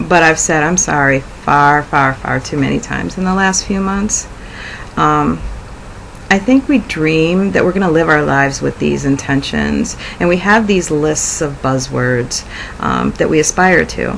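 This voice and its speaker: A woman talks at a fairly slow pace with long, frequent pauses. Background noise is noticeable. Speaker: video blogger. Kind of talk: personal reflection monologue. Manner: halting, frequent 'um' fillers.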